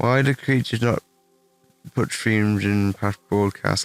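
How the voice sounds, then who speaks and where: A man's fairly low voice, dry and close with no echo, with music in the background. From England. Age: 20s. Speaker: gaming streamer. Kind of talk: live stream Q&A. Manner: casual, halting with fillers.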